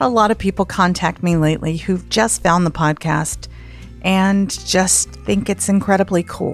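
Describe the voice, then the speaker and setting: With music playing in the background, a woman with an American accent talks at a moderate pace in a fairly low pitch, her pitch varying in an ordinary way. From Southern United States. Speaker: podcast host, storyteller. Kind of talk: podcast host intro and personal story.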